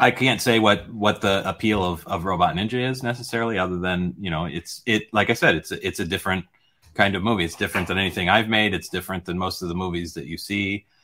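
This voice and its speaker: This man talks at a very fast pace with an American accent. His pitch sits fairly low and moves in an ordinary way. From United States. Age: 50s. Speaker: film director. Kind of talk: interview.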